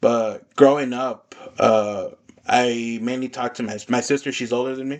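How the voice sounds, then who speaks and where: With a Spanish accent, a man talks at a moderate pace and medium pitch, his intonation monotone and flat while his loudness swings widely. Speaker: podcast host. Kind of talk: casual chat.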